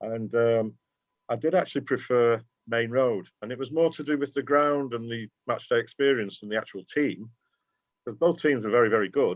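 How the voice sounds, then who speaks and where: A man speaks with a Geordie accent at medium pitch and a moderate pace, his pitch varying in an ordinary way over a quiet background. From Newcastle, northern England (Tyneside), raised in North Manchester from age eight. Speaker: football fan and fanzine writer. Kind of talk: casual interview chat. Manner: conversational with frequent fillers.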